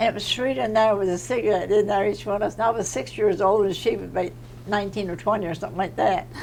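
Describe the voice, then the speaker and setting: With an American accent, a woman speaks at a medium pitch and a very fast pace. Her voice carries vocal fry. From Virginia Eastern Shore, Hog Island. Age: 80s+. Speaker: oral history interviewee. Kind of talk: oral history interview.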